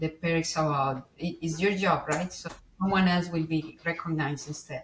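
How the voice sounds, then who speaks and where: A woman speaks at a moderate pace with fairly even intonation and a fairly low pitch, over noticeable background noise. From Colombia. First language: Spanish. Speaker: IT engineer. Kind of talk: interview conversation. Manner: expressive inflections.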